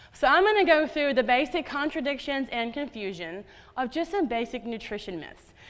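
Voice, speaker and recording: A woman talks at a fairly quick pace in a high, animated voice with a slight Southern US accent. Her pitch swings very widely. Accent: slight Southern twang. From US South. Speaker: dietitian. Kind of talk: conference talk. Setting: stage with audience.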